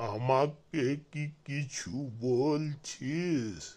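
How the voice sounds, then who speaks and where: A man speaks in a cartoonish character voice, pitched fairly high. His pitch varies in an ordinary way. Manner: mishears and answers off-topic.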